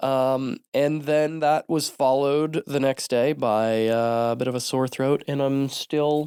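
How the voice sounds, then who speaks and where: A man with an American accent speaks at a fairly slow pace with hardly any pauses, his tone dark and mellow, his loudness very even and his intonation fairly even, in a very clean recording with a silent background and a dry, close sound with no echo. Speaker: podcast host. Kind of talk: solo podcast monologue. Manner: frequent fillers (um, uh).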